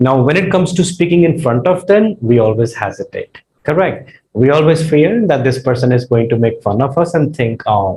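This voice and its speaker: A man with a dark, mellow tone sounds somewhat breathy, talking at a moderate pace with lively intonation. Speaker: English tutor. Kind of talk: lecture. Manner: conversational, frequent fillers.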